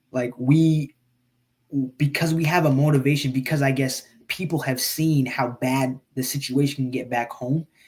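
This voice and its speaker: A man with an American accent speaks at a moderate pace in a fairly high, somewhat breathy voice with monotone, flat intonation. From Eritrea, raised in the US. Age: 20s. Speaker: podcast guest, engineer and podcaster. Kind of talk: casual interview conversation. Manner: hesitant, many fillers and repeats.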